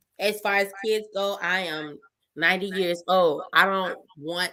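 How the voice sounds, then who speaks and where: A woman speaks very slowly. Her tone is bright and sharp. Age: 30s. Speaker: podcast guest. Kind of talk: casual chat. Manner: animated.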